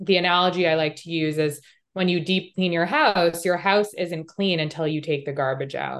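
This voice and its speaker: Against a quiet background, a woman with a normal speaking voice talks at a moderate pace, fairly low in pitch, with fairly even intonation. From Canada, Montreal. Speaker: holistic health coach. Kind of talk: interview.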